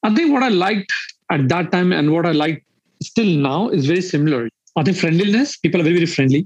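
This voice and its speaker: A man with a high voice and an Indian accent talks very fast with lively intonation and very even loudness, the sound dry and close with no echo. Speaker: startup founder and CEO. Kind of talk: casual interview chat.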